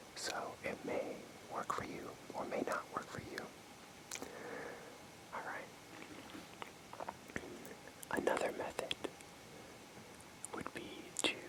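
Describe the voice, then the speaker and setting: Whispering very slowly with long, frequent pauses, a man is heard over noticeable background noise. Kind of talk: ASMR role play close-up sleep talk. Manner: whispered, soft-spoken, casual.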